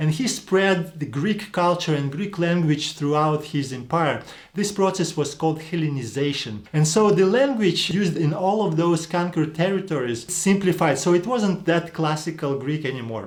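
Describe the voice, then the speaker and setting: A man with a high voice speaks at a moderate pace in a non-native accent. His pitch varies in an ordinary way, and audible room echo can be heard. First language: not English. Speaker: online Greek language teacher. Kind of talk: educational lecture video.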